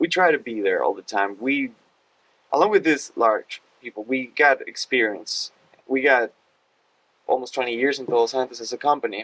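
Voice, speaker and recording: Recorded dry and close with no echo, a man of medium pitch speaks at a moderate pace with a Spanish accent. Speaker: hospitality team member. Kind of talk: casual podcast chat.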